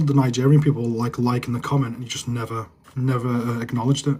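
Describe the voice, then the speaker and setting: Speech races by at a very fast pace. There is a somewhat breathy quality to the voice. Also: man. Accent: northern English. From northern England, Manchester area. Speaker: live streamer, football fan. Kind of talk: casual live stream chat.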